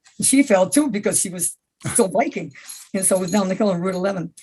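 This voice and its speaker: Here a woman speaks with an American accent. Her delivery is very fast and somewhat breathy. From US Northeast (upstate New York, Adirondacks). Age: 80s+. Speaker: senior athlete. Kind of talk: interview. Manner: halting.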